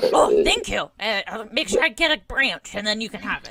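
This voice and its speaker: A woman's put-on character voice, high-pitched with very wide pitch swings and a fairly quick pace. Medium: actual play. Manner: eager, friendly.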